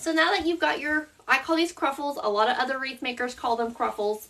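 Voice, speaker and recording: A woman talks in a Southern US accent with a high pitch. Her tone is bright and sharp, and her pitch variation is ordinary. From US South. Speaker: craft instructor. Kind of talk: tutorial. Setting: live stream. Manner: casual.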